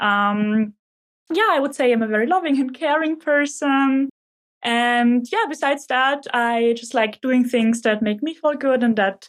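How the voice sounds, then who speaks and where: A fairly slow delivery with ordinary pitch variation. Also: woman, high pitch for a woman. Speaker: startup founder. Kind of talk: podcast interview. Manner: loud; energetic.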